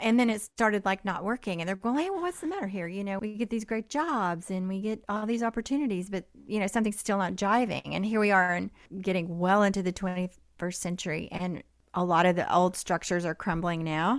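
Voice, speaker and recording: This woman has an unremarkable speaking voice, medium in pitch with ordinary variation, and she moves at a fairly quick pace. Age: 60s. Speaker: podcast host. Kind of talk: podcast interview.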